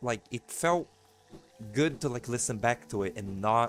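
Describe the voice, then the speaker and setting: Music plays in the background. A soft-spoken man talks with a Portuguese accent. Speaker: gamer doing a let's play. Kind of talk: let's play commentary. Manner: halting.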